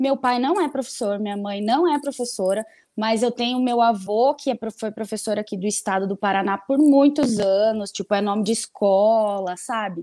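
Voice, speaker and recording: On a very clean recording with a silent background, a woman with a fairly high pitch and a dark, mellow tone talks at a moderate pace with ordinary pitch variation. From Botucatu, interior of São Paulo state, Brazil. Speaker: lawyer. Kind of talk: casual interview chat.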